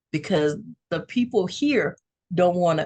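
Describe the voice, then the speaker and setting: Speaking with a Louisiana accent, a woman uses lively intonation. Her medium-pitched voice is somewhat breathy. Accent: Southern US (Louisiana). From North Louisiana. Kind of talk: interview testimony.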